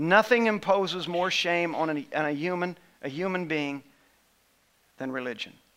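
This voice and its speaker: The voice has a bright, sharp tone and ordinary pitch variation, moving at a moderate pace with long, frequent pauses. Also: man, high pitch for a man. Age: 50s. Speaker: pastor. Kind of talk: sermon.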